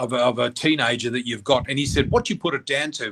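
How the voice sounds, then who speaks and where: A man with an Australian accent talks at a very fast pace. His pitch is fairly high. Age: 60s. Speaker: psychic medium. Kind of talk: interview. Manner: animated.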